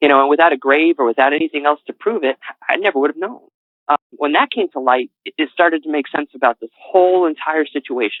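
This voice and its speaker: A man's very fast speech with an American accent, fairly high in pitch, with ordinary pitch variation. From New England, Connecticut. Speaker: author. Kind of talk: interview. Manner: halting.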